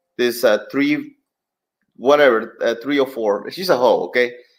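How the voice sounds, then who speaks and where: A man with a Spanish accent speaks in a fairly high pitch. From southern Mexico. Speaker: commentator. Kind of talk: live stream commentary.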